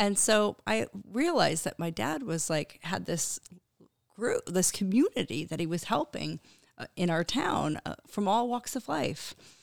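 A woman with an American accent, fairly low in pitch, with vocal fry and very wide pitch swings at a fairly slow pace, in a dry, close sound with no echo and a very clean recording over a silent background. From Connecticut. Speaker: humanitarian organization president. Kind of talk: interview. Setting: studio.

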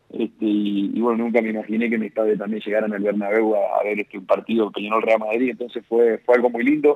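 A man talks at a very fast pace. His medium-pitched voice stays monotone and flat. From Uruguay. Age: 30s. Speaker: professional footballer. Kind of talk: interview. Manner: halting.

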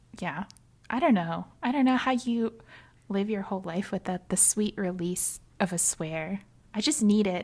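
The voice moves at a moderate pace with ordinary pitch variation and sounds somewhat breathy. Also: woman. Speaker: podcast co-host. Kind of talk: casual chat. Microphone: new mic.

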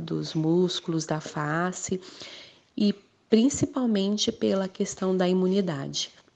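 A woman speaks at a fairly slow pace and medium pitch. Her tone is dark and mellow. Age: 30s. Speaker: teacher and mother. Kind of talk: interview testimony. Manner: halting.

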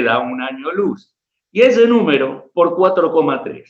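A man's lively intonation amid audible room echo. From Argentina, Rafaela, Santa Fe. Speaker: history professor, writer and war veteran. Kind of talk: interview with story readings.

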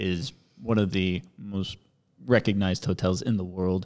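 A man speaks with an American accent at a fairly low pitch and with fairly even intonation. The recording is very clean, with a silent background. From US, Southern California (Orange County). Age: 40s. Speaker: English teacher and YouTuber. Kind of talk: casual chat.

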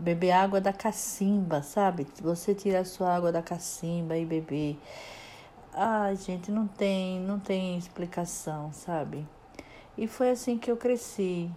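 Speaking very slowly, a woman uses a medium pitch with ordinary pitch variation. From Brazil, Alagoas (Northeast). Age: 50s. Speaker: podcaster. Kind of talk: personal storytelling monologue. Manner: halting, with many repetitions.

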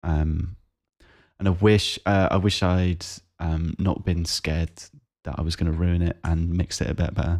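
Very deep and low in pitch, a man speaks with a South East English accent. His delivery is fairly slow, with monotone, flat intonation. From South East England, Kent. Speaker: podcast co-host, amateur musician. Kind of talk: casual chat. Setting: remote call.

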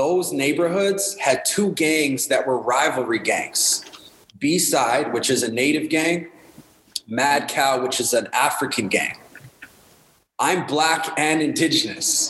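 Very slow speech in a Canadian accent with very even loudness, ordinary pitch variation and noticeable background noise. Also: man, fairly high pitch for a man. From Winnipeg, Manitoba, Canada. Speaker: hip hop artist and youth worker. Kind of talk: casual interview.

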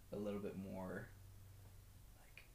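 A man speaks at a fairly low pitch with a slightly mellow tone.

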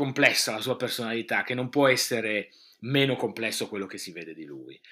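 This very clean recording with a silent background has a man talking at a very fast pace, medium in pitch, with a bright, sharp tone. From northeastern Italy, Friuli (province of Udine). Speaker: radio host and fashion expert. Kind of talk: interview.

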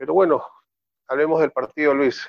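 An unremarkable speaking voice at a fairly quick pace, with fairly even intonation and a dry, close sound with no echo. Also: man. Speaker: football commentator. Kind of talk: casual football discussion.

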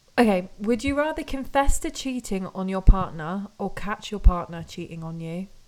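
Lively intonation in a British accent, with big swings in loudness and hardly any pauses. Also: woman, medium pitch for a woman, moderate pace. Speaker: podcast co-host. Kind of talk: casual chat.

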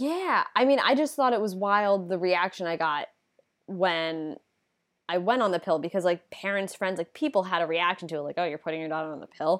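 A plain, everyday voice with an American accent moves at a fairly quick pace. The intonation is lively. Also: woman, medium pitch for a woman. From United States. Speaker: podcast co-host with legal background. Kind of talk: casual explanatory chat.

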